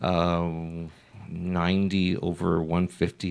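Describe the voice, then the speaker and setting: A man speaks in a very deep, low voice. His intonation is flat and monotone. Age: 60s. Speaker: radio host, chamber of commerce president. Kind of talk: casual interview chat. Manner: halting, many fillers.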